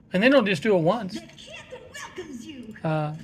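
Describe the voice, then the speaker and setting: A man's high-pitched voice comes through audible room echo and noticeable background noise. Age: 60s. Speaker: gaming vlogger. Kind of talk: casual monologue. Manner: hesitant, many fillers.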